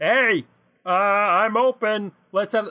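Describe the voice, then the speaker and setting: A put-on character voice comes through on a very clean recording with a silent background. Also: man, high pitch for a man. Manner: mechanical, cheerful.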